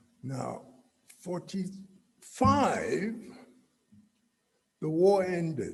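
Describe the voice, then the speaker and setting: With audible room echo, a man speaks at a high pitch and a very slow pace, his intonation lively and his pauses long and frequent. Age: 70s. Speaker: guest speaker. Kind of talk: speech.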